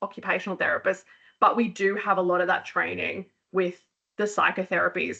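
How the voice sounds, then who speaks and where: A woman's bright, sharp tone with an Australian accent. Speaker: occupational therapist, clinic founder. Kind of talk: professional webinar talk. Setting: live webcast session. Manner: fast.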